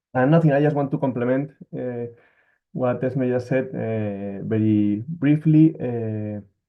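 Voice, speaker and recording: At a fairly slow pace, a man speaks with a Spanish accent. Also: medium pitch for a man, ordinary pitch variation. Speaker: NGO worker. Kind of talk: webinar presentation.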